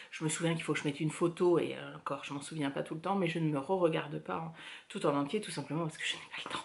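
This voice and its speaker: A woman is speaking. Her pitch sits fairly low. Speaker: knitting podcaster. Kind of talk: casual chat. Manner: hesitant, many filler words.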